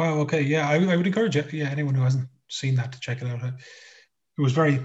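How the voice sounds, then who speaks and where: Talking very fast, a man with an Irish accent has a fairly high pitch. His intonation is fairly even and his voice somewhat breathy. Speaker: radio co-host. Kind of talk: news discussion; interview. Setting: remote call.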